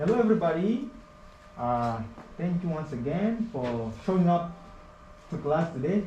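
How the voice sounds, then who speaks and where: A high-pitched man with a non-native accent, at a fairly slow pace with long, frequent pauses and very wide pitch swings, amid audible room echo and noticeable background noise. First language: not English. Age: 20s. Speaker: HVAC apprentice. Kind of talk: classroom presentation.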